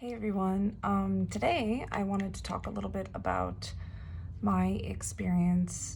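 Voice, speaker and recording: Speaking rather slowly, a woman's voice picks up audible echo from the room. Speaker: K-pop fan vlogger. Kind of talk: casual vlog review. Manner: hesitant, many filler words.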